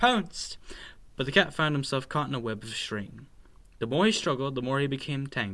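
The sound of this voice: Reading done in an unforced voice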